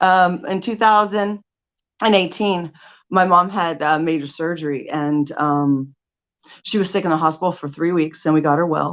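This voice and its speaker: Someone speaks with a Californian accent at a moderate pace and ordinary pitch variation. The background is quiet. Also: woman, fairly low pitch for a woman. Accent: Californian American English. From Southern California. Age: 40s. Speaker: life coach. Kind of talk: motivational talk. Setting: stage.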